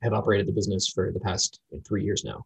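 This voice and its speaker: With an American accent and vocal fry, the speaker talks at a very fast pace. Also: man. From Florida, US. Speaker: entrepreneur and photographer. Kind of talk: interview.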